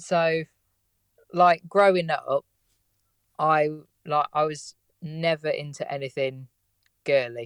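In an English accent, a man speaks fairly slowly with a fairly high pitch and fairly even intonation, the sound dry and close with no echo. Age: 20s. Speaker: car mechanic. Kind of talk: casual interview chat. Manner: laid back.

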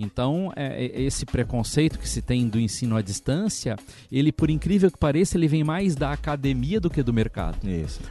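A man with a southern Brazilian accent, medium pitch, dark and mellow tone, lively intonation and a moderate pace. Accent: noticeable southern Brazilian. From Santa Catarina, southern Brazil. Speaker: education director. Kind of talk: interview. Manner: hesitant, many filler sounds.

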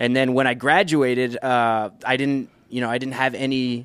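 Using a normal speaking voice with an American accent, a man speaks at a fairly slow pace in a medium pitch, his intonation fairly even and his speech with hardly any pauses. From Brownsville, Texas. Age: 30s. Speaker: professional drummer. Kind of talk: casual chat. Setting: studio.

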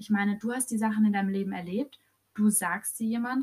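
A woman speaks in a somewhat breathy voice at a medium pitch. Her pace is moderate and her intonation fairly even. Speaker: podcast co-host. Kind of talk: casual chat.

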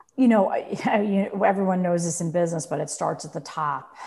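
This woman's voice has a dark, mellow tone with vocal fry. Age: 40s. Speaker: entrepreneur and former banker. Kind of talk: interview.

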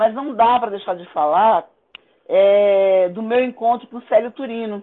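A woman's normal speaking voice with ordinary pitch variation. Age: 60s. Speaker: Afro-Brazilian religious priestess and cultural activist. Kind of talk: interview testimony.

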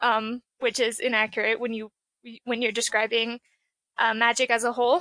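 With a dry, close sound free of echo and a quiet background, a high-pitched woman speaks at a moderate pace. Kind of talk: casual interview.

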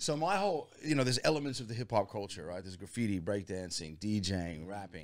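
Very fast delivery with lively intonation and big swings in loudness. The recording is very clean, with a silent background. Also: man, fairly low pitch for a man. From Virginia, US (near Washington DC). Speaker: hip-hop musician, band leader. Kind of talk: casual interview chat.

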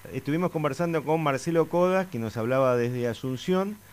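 A man speaks at a fairly quick pace with a Rioplatense accent. His intonation is lively. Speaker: radio host. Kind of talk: radio interview.

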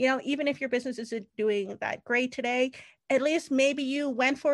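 Against a quiet background, a woman with a high-pitched voice speaks with fairly even intonation. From Canada. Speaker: retail consultant and business founder. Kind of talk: interview.

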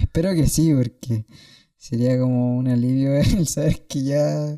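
Speaking at a fairly slow pace in a Chilean accent, a man has a dark, mellow tone and fairly high pitch, the sound dry and close with no echo. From Chile, Santiago (Peñalolén). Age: 20s. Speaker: nurse, podcast co-host. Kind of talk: casual chat.

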